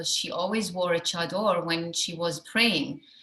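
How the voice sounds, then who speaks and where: A woman with a German accent speaks at a moderate pace amid noticeable background noise. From Iran and Germany. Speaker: actress. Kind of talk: festival Q&A. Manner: halting.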